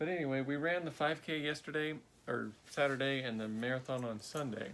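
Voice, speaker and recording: A man's normal speaking voice at medium pitch, with ordinary pitch variation and a fairly quick pace. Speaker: amateur marathon runner. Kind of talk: casual video chat.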